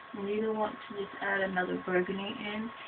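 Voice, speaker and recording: A quiet woman at medium pitch and moderate pace, with noticeable background noise. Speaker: beauty vlogger. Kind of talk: tutorial.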